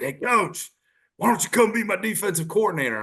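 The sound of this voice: A gruff, put-on character voice from a man, high-pitched, with lively intonation at a fairly quick pace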